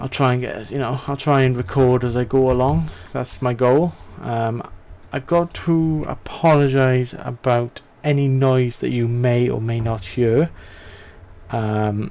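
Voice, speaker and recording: Keeping a fairly slow pace, a man talks with ordinary pitch variation. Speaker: gamer. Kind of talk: gameplay commentary. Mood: relaxed, apologetic.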